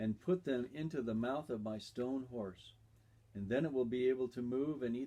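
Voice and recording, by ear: With ordinary pitch variation, a person reads aloud in a natural voice.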